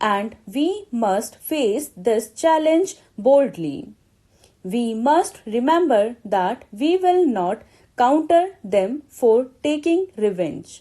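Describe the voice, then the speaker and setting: A woman's high pitch with a dark, mellow tone, very wide pitch swings and a very slow pace. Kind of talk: shorthand dictation reading a speech aloud at a slow, steady pace. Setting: exam-practice recording. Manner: slow, measured, clear.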